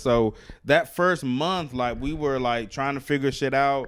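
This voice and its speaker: With a plain, everyday voice, a man in an American accent speaks at a medium pitch with ordinary pitch variation on a very clean recording with a silent background. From US South, Alabama. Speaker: stand-up comedian and activist. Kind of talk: casual interview chat.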